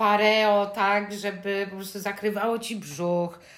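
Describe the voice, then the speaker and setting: Audible room echo surrounds a woman with a medium pitch. She talks at a very slow pace in a monotone, flat intonation. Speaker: podcast co-host. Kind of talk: casual chat. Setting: recording at home in mother's apartment.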